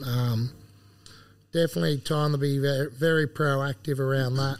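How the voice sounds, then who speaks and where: A man speaks in an Australian accent at a moderate pace. His pitch is fairly high and his intonation fairly even. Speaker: agronomist. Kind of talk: casual chat. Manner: jokey, laughs often.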